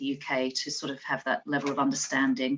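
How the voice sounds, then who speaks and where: Here a woman talks with an Australian accent. Her pace is fairly quick. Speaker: nurse. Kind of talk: conference talk.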